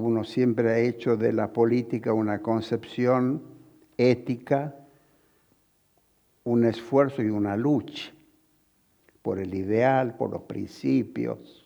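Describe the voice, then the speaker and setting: A man speaks very slowly in a dark, mellow tone with fairly even intonation. Long pauses come often. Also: medium pitch for a man. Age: 80s+. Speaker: veteran politician. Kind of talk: interview.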